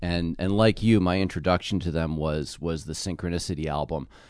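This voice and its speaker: Moderate-paced speech from a man with a very deep, low pitch, set against a quiet background. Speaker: journalism professor and author. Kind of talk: casual chat.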